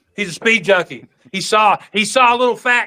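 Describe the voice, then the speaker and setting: A man's raised, projected voice, bright and sharp in tone, at a fairly quick pace. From Oklahoma, Tulsa. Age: 50s. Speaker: pool player. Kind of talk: casual chat. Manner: animated storytelling.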